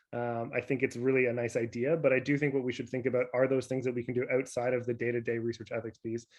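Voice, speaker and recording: A man's medium-pitched, monotone voice with flat intonation at a very fast pace. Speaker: public health professor. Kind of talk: virtual conference panel discussion.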